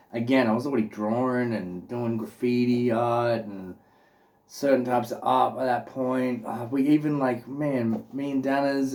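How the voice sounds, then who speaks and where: Fairly even intonation in an Australian accent. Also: man. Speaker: vlogger. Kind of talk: casual chat. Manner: casual, filler-heavy.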